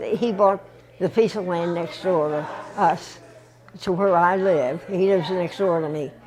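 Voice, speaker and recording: Amid noticeable background noise and audible room echo, a woman with a fairly low pitch talks at a fairly slow pace with fairly even intonation. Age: 90s. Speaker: interviewee. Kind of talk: casual chat. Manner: halting.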